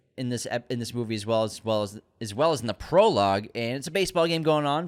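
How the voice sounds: The delivery is a natural reading voice that carries lively intonation.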